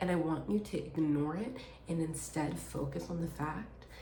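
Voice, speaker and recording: A woman's very deep, low voice amid noticeable background noise and audible room echo. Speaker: tarot reader. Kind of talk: channelled reading to viewers. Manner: stammering restarts.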